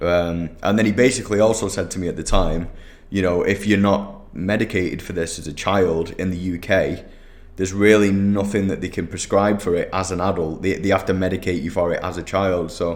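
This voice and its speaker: A man's very deep, low voice in a Mancunian accent, with fairly even intonation. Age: 30s. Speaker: digital marketing agency owner. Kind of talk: solo podcast monologue. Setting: office. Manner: casual, many fillers.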